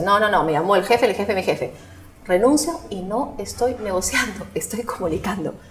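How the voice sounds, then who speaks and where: A woman's lively intonation comes through despite noticeable background noise. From Peru. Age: 40s. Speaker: psychologist and marketing strategist. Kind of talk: casual interview.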